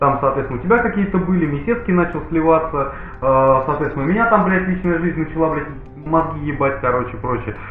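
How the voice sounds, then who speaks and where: Speaking at a fairly quick pace, a man uses a fairly high pitch with ordinary pitch variation. Noticeable background noise and audible room echo are present. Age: 30s. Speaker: podcast host. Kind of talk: casual chat. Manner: animated.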